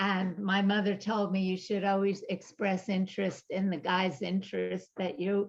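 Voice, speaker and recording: A woman keeps a monotone, flat intonation at a medium pitch, speaking at a moderate pace with hardly any pauses and very even loudness. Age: 70s. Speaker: therapist and author. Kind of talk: interview.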